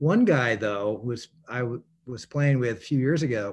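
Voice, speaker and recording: A man with an American accent, an unremarkable speaking voice, lively intonation and a moderate pace. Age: 60s. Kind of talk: casual chat. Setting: video call.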